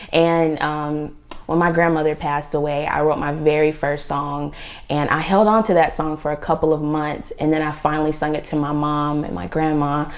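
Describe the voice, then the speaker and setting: A woman with a very deep, low pitch speaks at a moderate pace and fairly even intonation, with noticeable background noise. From Virginia and North Carolina. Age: 20s. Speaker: R&B singer. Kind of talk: interview. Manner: hesitant, many fillers.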